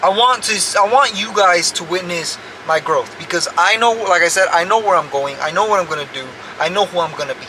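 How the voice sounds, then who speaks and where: There is noticeable background noise behind this man, whose voice sits high in pitch. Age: 20s. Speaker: vlogger and stucco contractor. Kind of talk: casual vlog monologue. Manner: halting, repeats words.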